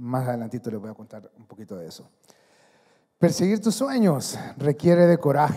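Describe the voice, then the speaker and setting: A man's dark, mellow voice moves at a moderate pace with long, frequent pauses. Loudness shifts a lot and pitch swings very widely, against a quiet background. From Honduras. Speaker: athlete and speaker; speaker. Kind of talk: motivational talk. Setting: stage with audience. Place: hall. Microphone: handheld.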